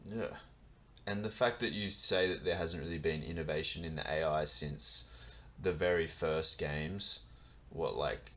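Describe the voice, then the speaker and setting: Very deep, low male voice with vocal fry, lively intonation and a fairly slow pace. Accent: Australian. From Australia. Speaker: podcast interviewer. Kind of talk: interview.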